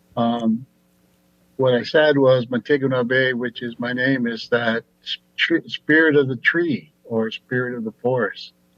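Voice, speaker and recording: A man with an American accent speaks in an unremarkable speaking voice at medium pitch. His pace is fairly slow and his intonation fairly even. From Upper Peninsula of Michigan, Ojibwe nation. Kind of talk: committee testimony. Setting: video call.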